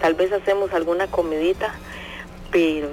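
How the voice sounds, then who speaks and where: A woman's fairly low voice at a moderate pace, monotone and flat, with noticeable background noise. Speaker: radio listener. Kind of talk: phone-in chat.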